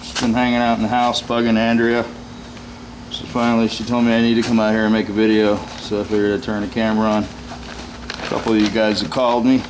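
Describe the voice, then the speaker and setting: A man speaks loudly at a fairly quick pace. Audible room echo and noticeable background noise surround him. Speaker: VW mechanic and body shop YouTuber. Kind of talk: casual vlog. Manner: hesitant, many uh fillers.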